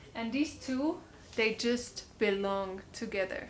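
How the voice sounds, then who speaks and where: A woman in a German accent speaks at a fairly high pitch with ordinary pitch variation. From Germany. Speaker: vlogger. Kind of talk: casual vlog talk. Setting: at home. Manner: animated.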